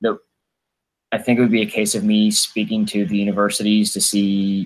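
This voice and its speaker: At a moderate pace, a man talks in a monotone with flat intonation. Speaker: physiotherapist. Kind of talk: podcast interview answer.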